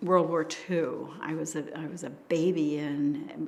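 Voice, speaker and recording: A woman with an American accent speaks in a very deep, low voice, with audible room echo. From US Northeast, Hudson Valley New York. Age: 80s+. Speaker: local resident, oral history interviewee. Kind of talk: oral history interview. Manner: hesitant, with frequent ums.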